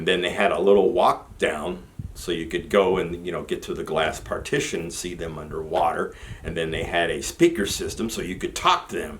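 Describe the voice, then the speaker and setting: Through noticeable background noise, the man's words come at a fairly quick rate. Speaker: army veteran vlogger. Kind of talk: personal storytelling monologue.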